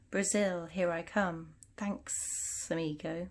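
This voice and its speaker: On a very clean recording with a silent background, a woman uses a put-on character voice at a very slow pace and fairly low pitch, with hissing. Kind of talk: casual.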